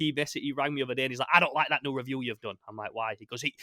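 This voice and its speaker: With a northern English accent, a man speaks in a bright, sharp tone with ordinary pitch variation. The sound is dry and close, with no echo. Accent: regional northern English. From northern England, Sheffield. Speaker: YouTuber, podcast host. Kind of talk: casual chat. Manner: fast talker.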